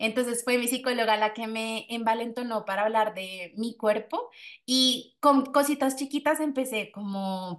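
A plain, everyday voice, rather slow, its pitch moving in an ordinary way. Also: woman, fairly high pitch for a woman. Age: 20s. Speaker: podcast host. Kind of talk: casual chat.

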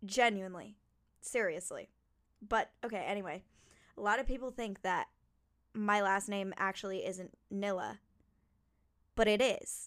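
A woman with an American accent speaks at a medium pitch and moderate pace, with fairly even intonation. She takes long, frequent pauses, and the recording is very clean with a silent background. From New Jersey. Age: 20s. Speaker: podcaster. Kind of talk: casual monologue. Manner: rambling.

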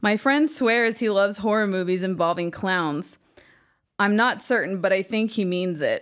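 In a very clean recording with a silent background, a woman uses an ordinary speaking voice at medium pitch, with very even loudness and ordinary pitch variation. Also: moderate pace. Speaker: podcast host. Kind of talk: casual chat while drinking.

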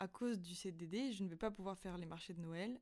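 A woman talks at a medium pitch with ordinary pitch variation. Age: 20s. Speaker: podcaster. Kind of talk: personal monologue. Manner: hesitant, many fillers.

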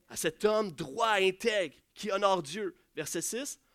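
This is a man's voice. His tone is animated. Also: very clean recording, silent background. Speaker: pastor. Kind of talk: sermon.

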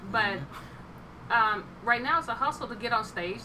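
A woman speaks in an American accent at a fairly high pitch, with ordinary pitch variation. Noticeable background noise is present. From Oklahoma, small town. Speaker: stand-up comedian. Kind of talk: casual chat.

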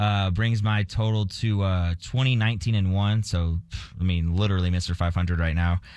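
A man talks at a fairly quick pace with a fairly low pitch and ordinary pitch variation. He has a normal speaking voice. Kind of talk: casual sports banter on radio. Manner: conversational, joking, informal.

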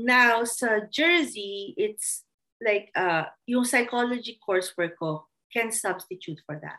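Bright and sharp in tone, the voice moves at a very slow pace with lively intonation and big swings in loudness. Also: woman, fairly high pitch for a woman. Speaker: behavior analyst. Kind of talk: casual chat.

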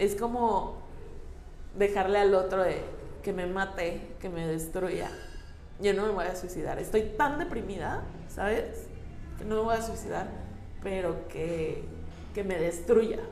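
A woman of medium pitch, fairly slow and fairly even in intonation, with long, frequent pauses, audible room echo, and noticeable background noise. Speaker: interviewee sharing experience of abusive relationship. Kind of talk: testimony.

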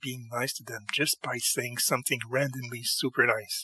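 A man talks at a moderate pace with a bright, sharp tone. The sound is dry and close, with no echo.

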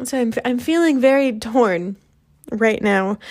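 A woman with an American accent talks at a fairly slow pace. She has an ordinary speaking voice with ordinary pitch variation. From Texas. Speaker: podcast host. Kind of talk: casual monologue.

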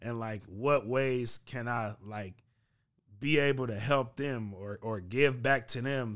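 A man with an American accent, medium pitch and fairly even intonation, at a very slow pace with big swings in loudness, on a very clean recording with a silent background. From US West Coast, San Francisco Bay Area. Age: 30s. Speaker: journalist and community activist. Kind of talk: casual podcast interview.

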